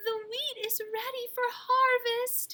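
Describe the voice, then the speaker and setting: Doing a put-on character voice, a woman squeaks out her lines in an extremely high pitch, fairly slowly and in a monotone, flat intonation. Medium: read story. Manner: patient, determined.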